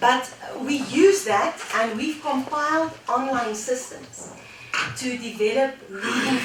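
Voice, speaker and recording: Over noticeable background noise and audible room echo, a woman speaks at a high pitch with a South African accent. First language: Afrikaans. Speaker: education technology specialist. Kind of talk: panel discussion. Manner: halting.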